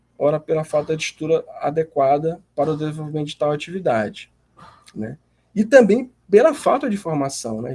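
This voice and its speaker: Recorded dry and close with no echo, a man talks at a fairly quick pace in a dark, mellow tone. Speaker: graduate student presenting a seminar. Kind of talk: class seminar presentation. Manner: hesitant, many fillers.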